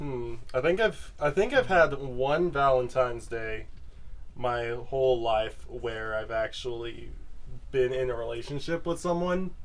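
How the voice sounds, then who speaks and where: A man speaks at a medium pitch and a fairly slow pace with ordinary pitch variation, with audible room echo. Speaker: podcast host. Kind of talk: casual chat. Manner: loud.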